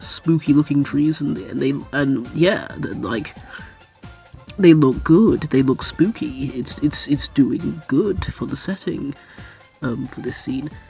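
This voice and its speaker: Over music in the background, a woman speaks at a very slow pace with a very deep, low pitch. Her intonation is lively and her loudness swings widely. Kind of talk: casual commentary to camera. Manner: rambling, hesitant with many fillers.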